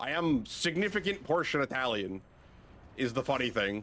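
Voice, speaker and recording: A man speaks in a fairly high voice. He has a slight New England accent. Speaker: video game streamer. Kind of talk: casual chat.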